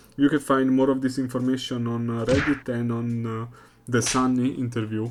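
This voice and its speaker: A non-native accent at a moderate pace. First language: not English. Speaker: gaming YouTuber. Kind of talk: unscripted video reaction. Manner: halting, many fillers.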